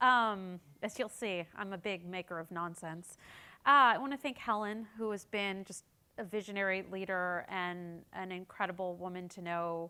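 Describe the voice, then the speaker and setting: In a very clean recording with a silent background, a woman with an American accent speaks at a moderate pace in a bright, sharp tone with ordinary pitch variation. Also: medium pitch for a woman. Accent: American accent noticeable to local audience. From United States. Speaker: political communications consultant. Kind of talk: keynote speech. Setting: conference stage with audience.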